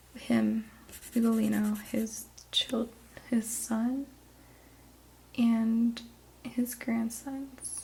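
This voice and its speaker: Soft-spoken and whispering, a woman talks. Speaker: ASMR artist and drawing teacher. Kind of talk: ASMR drawing lesson. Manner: soft-spoken, whispered.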